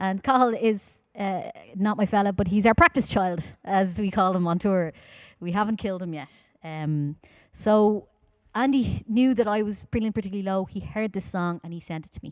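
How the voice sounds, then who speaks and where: With a Dublin accent, a woman speaks at medium pitch with ordinary pitch variation. Her loudness swings widely, and the recording is very clean with a silent background. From Ireland, Dublin. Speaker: folk singer. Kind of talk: live-streamed concert talk between songs. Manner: fast.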